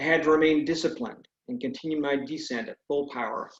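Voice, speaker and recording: An unremarkable speaking voice at a moderate pace, with ordinary pitch variation. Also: man. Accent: American. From California, US. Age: 60s. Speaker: retired air force pilot and author. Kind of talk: speech; reading aloud.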